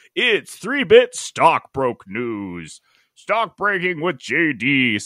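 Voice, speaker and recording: Putting on a character voice, a man speaks very slowly at a fairly high pitch with very wide pitch swings. The recording is very clean with a silent background, dry and close with no echo. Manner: broadcast news delivery.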